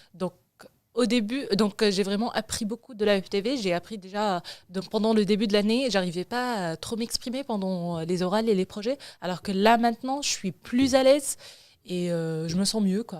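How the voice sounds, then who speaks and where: A woman with an unremarkable speaking voice talks at a moderate pace and medium pitch, with ordinary pitch variation, on a very clean recording with a silent background. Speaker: student web TV presenter. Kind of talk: casual chat.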